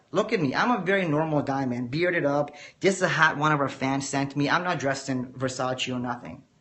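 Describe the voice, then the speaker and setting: With lively intonation and a fairly high pitch, a man talks through audible room echo. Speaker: forex trader teaching a course. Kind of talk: livestream lecture. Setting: live video stream. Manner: measured, teacher-like; casual, addresses viewers directly.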